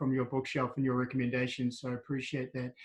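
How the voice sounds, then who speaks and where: The voice has a New Zealand accent. The background is quiet. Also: man. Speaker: wellbeing coach and interviewer. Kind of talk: interview.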